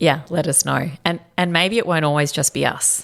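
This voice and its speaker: With an Australian accent, a woman speaks at a moderate pace, her pitch varying in an ordinary way. Vocal fry runs through her voice. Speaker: company co-founder and podcast host. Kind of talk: casual chat.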